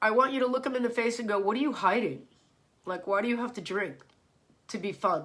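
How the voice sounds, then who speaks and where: A woman talks very fast in an animated tone at a fairly high pitch, with ordinary pitch variation and long, frequent pauses. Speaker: fitness instructor. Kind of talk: casual chat.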